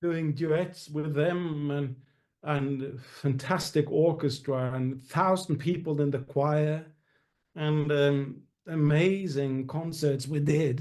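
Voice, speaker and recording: Speaking very slowly with a Norwegian accent, a man uses a fairly high pitch and fairly even intonation. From Norway. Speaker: musical theatre actor and singer. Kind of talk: interview. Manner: halting, many fillers.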